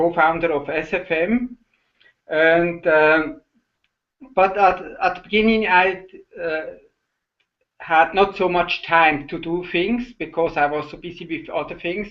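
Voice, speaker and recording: A man's high-pitched voice with a Swiss German accent, fairly even intonation, a fairly slow pace and long, frequent pauses. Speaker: online entrepreneur. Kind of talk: casual chat. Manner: halting.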